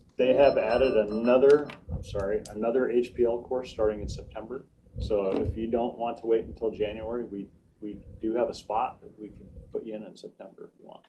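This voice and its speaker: A man with an unremarkable speaking voice talks at a fairly quick pace and a medium pitch. His intonation stays fairly even while his loudness swings widely. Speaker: county IT and central services manager. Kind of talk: public meeting report.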